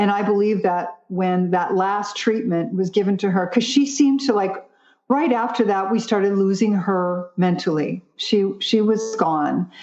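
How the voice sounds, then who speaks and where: A woman talks in an ordinary speaking voice at a medium pitch, keeping very even loudness. Her pace is fairly slow, with ordinary pitch variation. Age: 60s. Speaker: vegan nutritionist and brain health advocate. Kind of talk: podcast interview.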